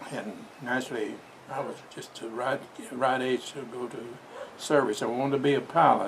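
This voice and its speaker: Noticeable background noise and audible room echo surround this man's voice. He speaks at a medium pitch with fairly even intonation. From southwestern Oklahoma, US. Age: 90s. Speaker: World War II veteran and business founder. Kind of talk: interview, personal life story. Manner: halting, with restarts.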